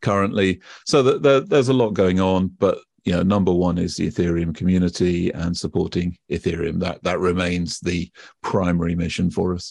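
A man with a British accent and a very deep, low pitch against a quiet background. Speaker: blockchain expert. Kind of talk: casual interview. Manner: hesitant, filler words.

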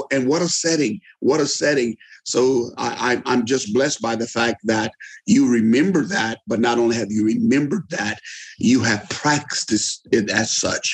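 At a moderate pace, a man with a medium pitch and ordinary pitch variation talks in a normal speaking voice. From US, eastern shore of Maryland. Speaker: retired pastor. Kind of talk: interview.

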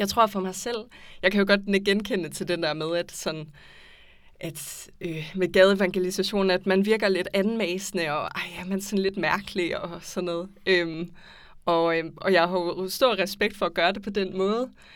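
In a very clean recording with a silent background, a woman speaks at medium pitch and a fairly slow pace with fairly even intonation. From Aarhus, Denmark. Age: 20s. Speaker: anthropology student. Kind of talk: casual discussion. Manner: hesitant, many fillers.

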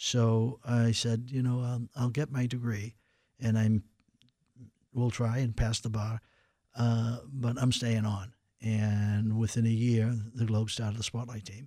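Dark and mellow in tone, a man speaks slowly and flatly in a monotone at a medium pitch, on a very clean recording with a silent background. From Boston, Massachusetts (Dorchester). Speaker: retired newspaper reporter. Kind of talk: radio interview. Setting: radio studio. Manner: halting.

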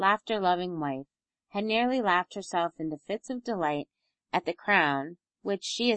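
Against a quiet background, the speaker is reading aloud in a natural voice with lively intonation.

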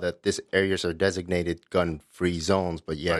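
A man's very deep, low pitch, dry and close with no echo, over a quiet background. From West Africa. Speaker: gun rights youtuber. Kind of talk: casual chat.

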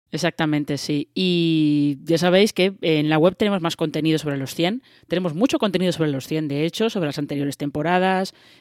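Fairly quick, nearly pause-free speech with a Spanish accent, on a very clean recording with a silent background. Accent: Spanish (Spain). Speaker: podcast host. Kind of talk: casual chat. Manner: hesitant, many fillers.

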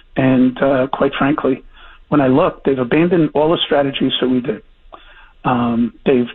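Here a man has an ordinary speaking voice. His pitch is fairly high, and he talks at a moderate speed. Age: 60s. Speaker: former police chief. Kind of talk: interview.

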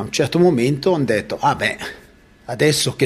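Using a normal speaking voice, this man keeps a moderate pace while his intonation stays lively. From Italian-speaking Switzerland. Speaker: local author. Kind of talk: interview.

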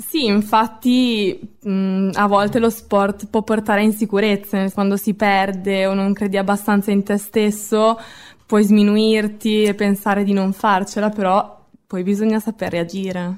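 Her pace is fairly slow and her pitch medium for a woman. She speaks in a monotone with flat intonation. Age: 20s. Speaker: new radio editor. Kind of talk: interview answers.

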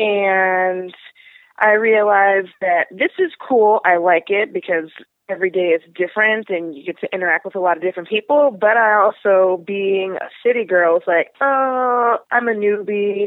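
An unremarkable speaking voice: a woman with an American accent, medium pitch, moderate pace and ordinary pitch variation. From Pittsburgh, US. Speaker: podcast guest. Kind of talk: casual interview conversation.

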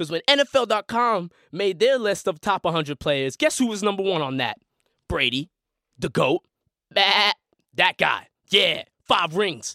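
Speaking with an American accent in a raised, projected voice, a man with a high pitch and a bright, sharp, animated tone moves through very wide pitch swings at a fairly slow pace with long, frequent pauses, recorded with a dry, close sound and no echo. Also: very clean recording, silent background. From Boston. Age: 20s. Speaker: podcast host. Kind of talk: casual chat. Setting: studio.

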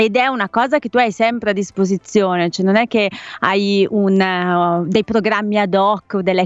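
A woman with an ordinary speaking voice talks at a moderate pace, medium in pitch, with fairly even intonation. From Bergamo, Lombardy. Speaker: radio host. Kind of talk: live radio chat. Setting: remote link from home.

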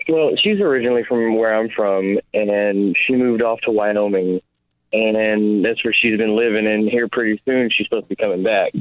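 An ordinary speaking voice from a man with an American accent, medium pitch, fairly even intonation, very even loudness and a fairly quick pace. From Oklahoma. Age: 20s. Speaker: caller. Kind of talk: casual chat. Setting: phone call.

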